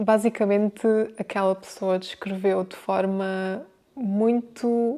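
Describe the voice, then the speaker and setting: Very slowly and in a flat monotone, a woman speaks at medium pitch with a dark, mellow tone. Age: 30s. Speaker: home organisation content creator. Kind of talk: casual talk to camera.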